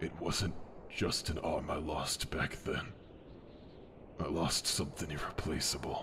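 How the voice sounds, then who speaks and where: Over clear background noise, a man speaks at a very deep, low pitch and a fairly slow pace. His loudness stays very even, broken by long, frequent pauses. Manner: bitter, hopeless, fading.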